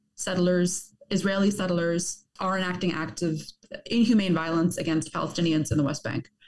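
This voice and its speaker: Here a woman talks at a moderate pace in a fairly low pitch. Her pitch varies in an ordinary way. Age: young. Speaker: journalist and author. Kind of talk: interview. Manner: halting.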